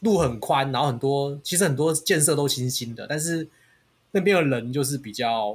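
A man speaks in a fairly high, somewhat breathy voice with ordinary pitch variation. The recording is very clean, with a silent background. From Taiwan. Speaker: podcast host. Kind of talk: casual chat.

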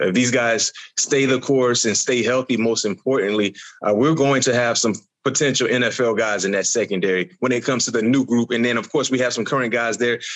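Talking at a fairly quick pace, a man with an unremarkable speaking voice keeps a medium pitch with ordinary variation. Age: 40s. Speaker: former college football player, podcast co-guest. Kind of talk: casual sports chat.

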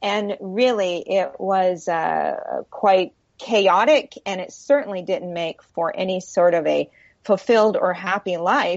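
A woman speaks at a very slow pace, her medium pitch showing ordinary variation. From US, military family (moved around). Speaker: self-esteem coach and speaker. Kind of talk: radio interview. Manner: hesitant, many fillers.

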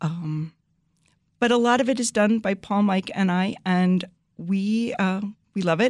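A woman with an American accent has an unremarkable speaking voice, medium in pitch, with fairly even intonation. The recording is very clean, the background silent. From US Northeast, New Jersey. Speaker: vineyard co-owner. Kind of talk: casual interview. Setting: studio.

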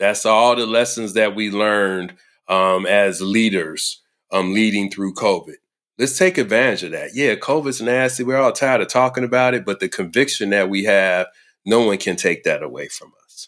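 A man with an unremarkable speaking voice talks at a medium pitch and moderate pace with ordinary pitch variation, on a very clean recording with a silent background. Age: 50s. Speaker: senior care leadership consultant. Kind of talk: interview.

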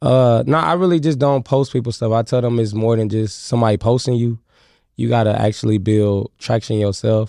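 A man with a dark, mellow tone and medium pitch talks at a fairly quick pace, keeping very even loudness and ordinary pitch variation against a quiet background. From US Midwest, Kansas City Missouri. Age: 20s. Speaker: comedian and internet video creator. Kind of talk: casual chat. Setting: studio.

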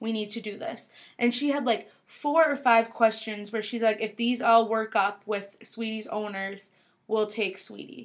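Using a plain, everyday voice, a woman with a fairly high pitch speaks at a fairly slow pace with fairly even intonation. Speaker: podcast host. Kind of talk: casual family chat.

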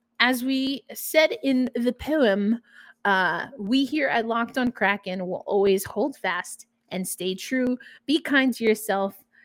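A woman with an American accent speaks very slowly in a fairly high voice with ordinary pitch variation. The sound is dry and close, with no echo. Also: very clean recording, silent background. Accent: New York accent, slight, comes out at times. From New York. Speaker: sports podcast host. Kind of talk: solo podcast commentary. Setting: studio recording, also on video. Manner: casual, with fillers.

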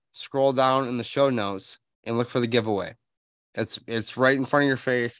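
A man's medium-pitched, ordinary speaking voice with fairly even intonation, on a very clean recording with a silent background. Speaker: podcast host, habitat consultant. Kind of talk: casual interview. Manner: frequent filler um.

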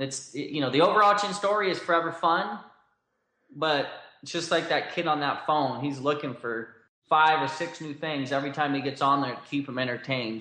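A bright, sharp voice speaks at a moderate pace, with audible echo from the room. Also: man. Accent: American. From Southern California. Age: 30s. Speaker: clothing brand founder. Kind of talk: interview.

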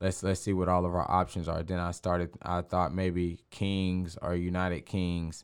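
In a very clean recording with a silent background, a man with a Texan accent speaks at a moderate pace in a very deep, low pitch and a monotone, flat intonation. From Texas, Waco. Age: young. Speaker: basketball team owner. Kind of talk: casual interview.

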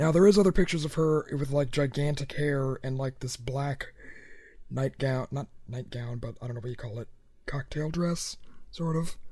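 A man with a dark, mellow tone speaks at a moderate pace, somewhat breathy. His pitch is fairly high, with ordinary variation. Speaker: podcast host. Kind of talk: casual chat.

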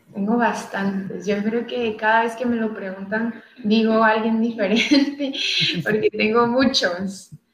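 The speech comes at a very slow pace with fairly even intonation and audible room echo. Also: woman. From Tijuana, Baja California, Mexico. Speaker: professional footballer. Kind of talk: interview. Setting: live stream.

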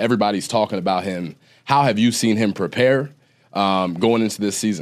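Here a man talks at a fairly quick pace with an American accent, a fairly low pitch and ordinary pitch variation. He has a plain, everyday voice, on a very clean recording with a silent background. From Ohio. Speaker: podcast host and former college football player. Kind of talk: casual chat.

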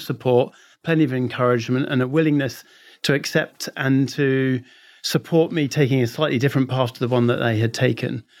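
Speaking very fast with an English accent, a man uses a fairly high pitch and ordinary pitch variation on a very clean recording with a silent background. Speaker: consulting firm managing partner. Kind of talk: interview.

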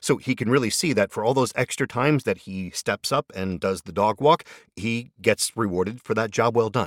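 A man with a normal speaking voice at a medium pitch talks at a moderate pace with lively intonation, heard dry and close with no echo on a very clean recording with a silent background. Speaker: podcast host. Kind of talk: casual host commentary and ad reads. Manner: friendly, chatty, conversational.

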